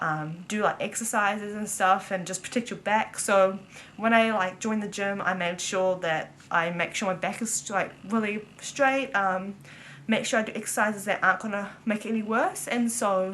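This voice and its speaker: The speaker has a New Zealand accent, a moderate pace and fairly even intonation. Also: woman, medium pitch for a woman. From New Zealand, Auckland. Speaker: vlogger. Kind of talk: casual chat. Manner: casual, filler-heavy.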